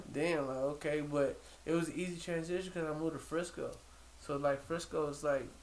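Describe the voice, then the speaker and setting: A man with a fairly high pitch and an American accent speaks in a monotone, flat intonation, with audible room echo. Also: fairly quick pace. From New York, Brooklyn. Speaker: rapper. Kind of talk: casual chat.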